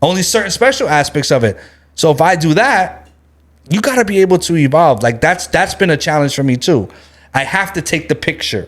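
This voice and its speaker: A loud man with a high pitch, lively intonation and an animated, passionate tone, at a fairly quick pace. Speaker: branding expert and entrepreneur, co-author. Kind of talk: casual podcast interview.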